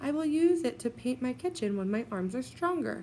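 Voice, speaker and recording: Using a put-on character voice, a woman speaks high and gentle with very wide pitch swings at a moderate pace. Background noise is clearly heard. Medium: read story. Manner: gentle, soft.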